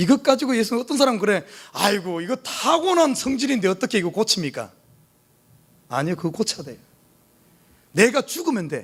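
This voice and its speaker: A man's voice swings very widely in pitch while keeping a moderate pace. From South Korea, Jeolla region (Gwangju). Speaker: pastor. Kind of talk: sermon. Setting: church. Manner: animated.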